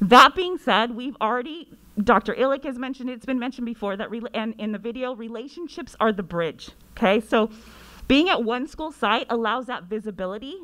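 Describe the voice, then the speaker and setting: Against a quiet background, a woman with a high pitch speaks at a moderate pace with lively intonation. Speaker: school counselor; presenter. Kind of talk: presentation to school board. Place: meeting room. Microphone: podium.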